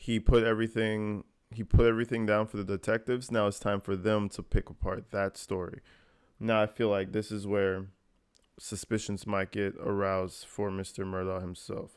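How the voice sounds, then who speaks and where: A man with a fairly low voice speaks at a moderate pace in a monotone, flat way. The recording is very clean with a silent background. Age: 20s. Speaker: YouTube commentator. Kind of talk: reaction commentary. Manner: casual.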